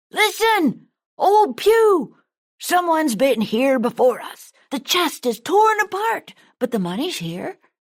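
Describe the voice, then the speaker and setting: Using a put-on character voice, a woman speaks fairly slowly in a high pitch with very wide pitch swings. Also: very clean recording, silent background. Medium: read story.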